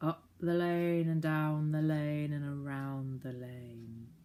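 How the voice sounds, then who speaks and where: A growling, put-on character voice sits at a low-to-middle pitch. The delivery is very slow. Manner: polite, friendly.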